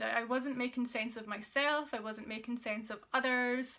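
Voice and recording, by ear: With fairly even intonation, a woman speaks at a fairly high pitch in a bright, sharp tone.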